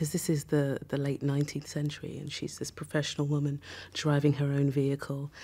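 At a moderate pace, a woman talks in a very deep, low pitch. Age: 40s. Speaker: actress; actor. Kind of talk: interview. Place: studio.

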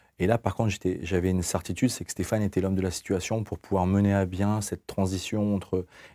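Dry and close with no echo on a very clean recording with a silent background, a man speaks at a fairly quick pace in a fairly low, dark, mellow voice with monotone, flat intonation. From northern France, Lille. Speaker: football club general manager, former pro player. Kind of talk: TV studio interview. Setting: TV studio. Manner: halting.

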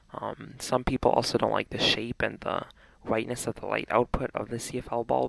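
Quiet and fairly quick, a man talks with a dry, close sound and no echo. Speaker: radiation measurement presenter. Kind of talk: casual demonstration talk to camera. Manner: quiet, hushed.

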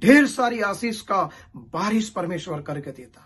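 The speaker is a man. He talks at a very slow pace. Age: 50s. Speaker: pastor. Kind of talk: sermon; prayer.

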